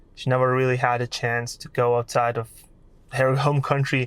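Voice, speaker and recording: The recording is very clean, with a silent background. A man with a Lithuanian accent speaks at medium pitch with fairly even intonation. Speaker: content creator. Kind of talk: vlog monologue.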